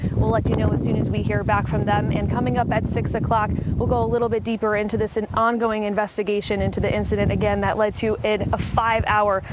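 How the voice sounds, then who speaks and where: Over noticeable background noise, a woman talks at a fairly quick pace with very even loudness. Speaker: TV news reporter. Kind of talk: TV news field report. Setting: outdoors, live on location.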